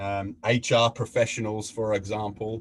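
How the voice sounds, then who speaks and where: A man talks at a moderate pace with an Australian accent. His medium-pitched voice is somewhat breathy. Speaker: facilitator and mediator. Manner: halting.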